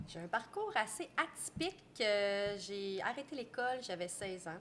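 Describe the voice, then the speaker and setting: A woman with a Quebec accent, lively intonation and a fairly slow pace. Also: medium pitch for a woman. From Quebec, Trois-Rivières. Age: 40s. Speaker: restaurant owner. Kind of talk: interview. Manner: casual, hesitant with fillers.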